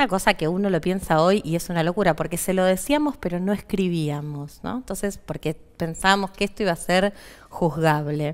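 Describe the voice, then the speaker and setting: A woman's fairly low pitch at a moderate pace, with ordinary pitch variation. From Argentina. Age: 40s. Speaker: physician; interview guest. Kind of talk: interview; interview answer. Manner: halting. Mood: earnest, reflective. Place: studio. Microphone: headset.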